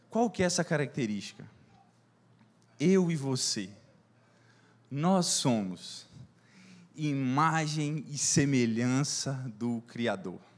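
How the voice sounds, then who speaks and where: A man's fairly high-pitched voice at a very slow pace, broken by long, frequent pauses. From Brazil, Minas Gerais. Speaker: preacher. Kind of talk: sermon. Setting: church service.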